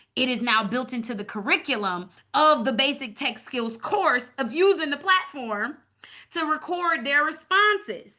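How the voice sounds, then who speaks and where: A woman speaks in a raised, projected voice with a high pitch. Her tone is bright and sharp, and her pitch swings very widely. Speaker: community program leader and evaluator. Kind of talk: webinar presentation. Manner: fast.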